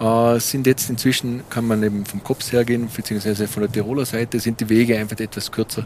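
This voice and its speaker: This man speaks at a very fast pace. His intonation is monotone and flat. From Montafon, Vorarlberg, Austria. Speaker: local guide co-host. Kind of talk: casual chat.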